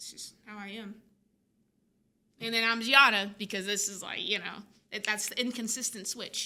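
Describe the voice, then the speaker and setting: A woman talks at a fairly quick pace in a fairly high pitch. Her tone is bright, sharp and energetic. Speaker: filmmaker. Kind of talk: casual chat. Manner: energetic, fast.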